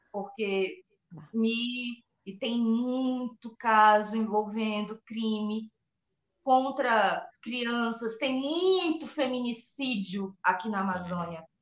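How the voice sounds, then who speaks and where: A woman's somewhat breathy, fairly high voice at a very slow pace, with ordinary pitch variation. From Brazil, Acre (Rio Branco). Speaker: journalist and true crime podcaster. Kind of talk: casual chat.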